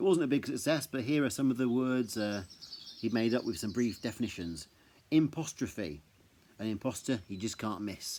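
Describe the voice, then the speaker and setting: A man's medium-pitched voice in an English accent, fairly quick in pace with lively intonation. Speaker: amateur storyteller reading his own writing. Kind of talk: reading aloud. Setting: outdoors. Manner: casual with hesitations.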